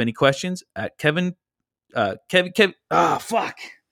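A man with a plain, everyday voice speaks at a moderate pace with lively intonation. The recording is very clean with a silent background and a dry, close sound with no echo. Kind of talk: comedy routine, playing straight man in a sketch. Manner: sarcastic, snappy, exasperated and profane.

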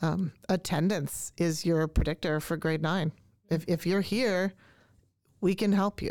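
In a very clean recording with a silent background, a normal speaking voice moves at a fairly slow pace with fairly even intonation. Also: woman, fairly low pitch for a woman. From Canada. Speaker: language arts teacher. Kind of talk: casual interview chat. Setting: studio.

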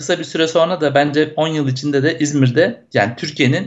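A man talks fairly quickly in a normal speaking voice, pitched fairly high with ordinary pitch variation. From Turkey, Izmir. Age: 40s. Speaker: software entrepreneur and cycling advocate. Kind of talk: interview.

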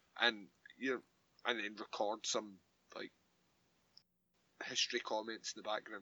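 A man with a bright, sharp tone and fairly low pitch speaks at a moderate pace, taking long, frequent pauses and showing big swings in loudness. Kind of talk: casual chat. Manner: animated, ranting.

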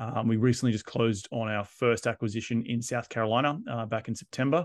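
Against a quiet background, a man with an Australian accent speaks at a medium pitch and a fairly quick pace, the sound dry and close with no echo. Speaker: real estate investor and developer. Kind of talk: interview.

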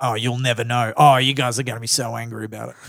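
A man with an Australian accent at a medium pitch, in a very clean recording with a silent background. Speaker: comedian and radio host. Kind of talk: casual chat. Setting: studio.

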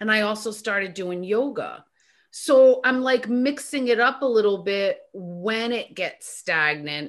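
A woman with a plain, everyday voice speaks at a fairly slow pace, her pitch fairly high. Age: 50s. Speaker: author and talk radio host. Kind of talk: casual chat.

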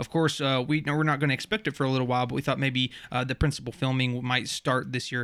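A man talks with background noise noticeable behind him. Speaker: podcast co-host. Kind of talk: casual chat. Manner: soft-spoken.

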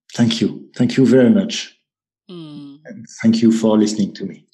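A man with a French accent speaks in a dark, mellow tone. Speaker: app founder. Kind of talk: interview. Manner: halting.

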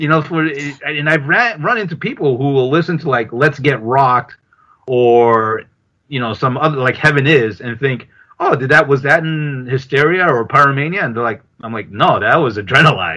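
A man speaks at a fairly high pitch with a bright, sharp tone. His pitch varies in an ordinary way. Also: moderate pace. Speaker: podcast host. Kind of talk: casual chat.

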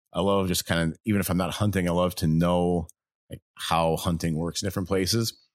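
Recorded dry and close with no echo and a silent background, a man speaks fairly quickly in a very deep, low, monotone, flat voice. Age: 40s. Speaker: podcast host, duck hunter and wildlife photographer. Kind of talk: casual chat. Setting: home basement recording.

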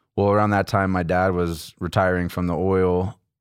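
In a very clean recording with a silent background, a man with an American accent speaks at a moderate pace in a very deep, low voice. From Texas, Houston area. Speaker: missionary. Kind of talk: casual interview. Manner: casual, animated.

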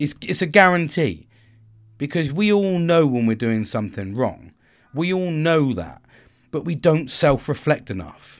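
Intonation rises and falls in a lively way as a man speaks with a British accent. His pace is fairly slow. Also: fairly high pitch for a man. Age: 40s. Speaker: podcaster. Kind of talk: solo monologue on self-care and reflection. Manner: commanding; casual, rambling, with filler words.

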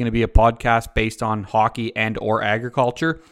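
A man with an Ontario accent speaks at medium pitch in a monotone, flat intonation. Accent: rural Ontario Canadian. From Ontario, Canada (rural, north of Uxbridge). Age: 30s. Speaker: podcast host and dairy farmer. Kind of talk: casual monologue. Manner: casual, conversational with fillers. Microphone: new microphone.

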